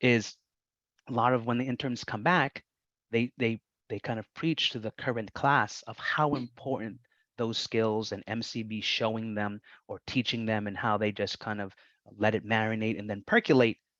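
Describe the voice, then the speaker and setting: A man with a Boston accent speaks at a moderate pace in a medium pitch. His intonation is fairly even against a quiet background. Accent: Somerville, Massachusetts. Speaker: vocational rehabilitation staff running internship program. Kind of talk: presentation at public meeting. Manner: repetitive, halting.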